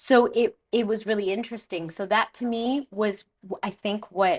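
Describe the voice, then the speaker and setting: A woman speaks at a moderate pace in a Canadian accent. Her pitch is fairly high and her intonation fairly even. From Canada, Toronto. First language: Spanish. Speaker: makeup artist. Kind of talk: interview.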